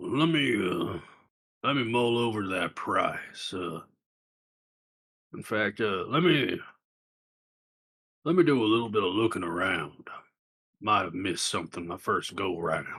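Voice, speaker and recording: A man puts on a raspy character voice at a medium pitch, with very wide pitch swings. He moves at a moderate pace with long, frequent pauses. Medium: actual play.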